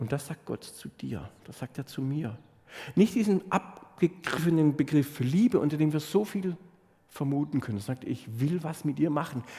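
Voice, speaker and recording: With lively intonation and big swings in loudness, a man speaks at a moderate pace in a fairly high pitch, his tone dark and mellow and somewhat breathy. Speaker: pastor. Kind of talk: sermon; warm, personal sermon to a congregation. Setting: church. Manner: animated, direct address to listeners; warm, sincere, heartfelt, storytelling.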